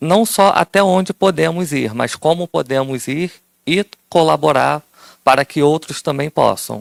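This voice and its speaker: A man with a fairly high voice and ordinary pitch variation, recorded with a dry, close sound and no echo. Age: 30s. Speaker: audiovisual archive worker. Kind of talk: self-introduction in workshop.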